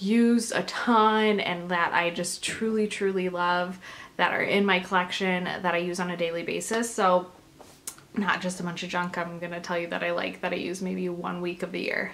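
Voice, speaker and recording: A woman speaks at a moderate pace in a fairly low pitch, with monotone, flat intonation. Audible room echo surrounds her voice. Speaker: beauty vlogger. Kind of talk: casual product review. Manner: loud.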